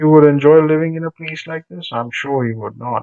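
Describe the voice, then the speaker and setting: A fairly high-pitched male voice at a moderate pace, with ordinary pitch variation. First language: Telugu. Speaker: teacher. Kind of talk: lesson reading textbook aloud with commentary. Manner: conversational, with fillers.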